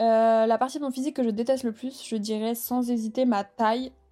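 A woman's animated tone at a fairly high pitch. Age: 20s. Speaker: podcast host and content creator. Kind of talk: casual chat. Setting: at home, sitting in bed.

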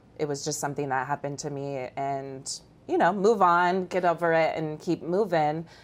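With an American accent, a woman speaks at a very deep, low pitch and ordinary pitch variation while music plays in the background. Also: moderate pace. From Iowa, small town. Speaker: human trafficking survivor. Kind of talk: testimony.

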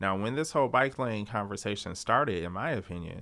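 With an American accent, a man talks at a moderate pace in a bright, sharp tone, on a very clean recording with a silent background. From Detroit, Michigan. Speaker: city storyteller. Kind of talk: casual interview chat.

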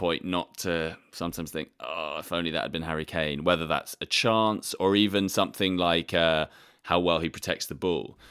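Speaking with an English accent, a man uses a very deep, low pitch, fairly even intonation and a moderate pace on a very clean recording with a silent background. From England. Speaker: football journalist. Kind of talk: casual chat.

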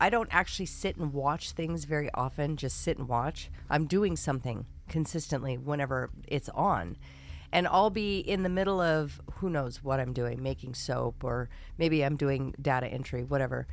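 A woman speaks with a very deep, low pitch and vocal fry. Her intonation is lively, her pace moderate. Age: 50s. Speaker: podcast co-host, soap maker. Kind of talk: casual chat.

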